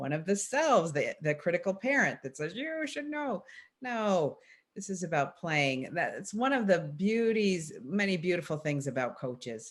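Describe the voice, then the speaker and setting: Against a quiet background, a woman talks at a moderate pace, her pitch swinging very widely. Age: 60s. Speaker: coach trainer. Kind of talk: conversational panel discussion.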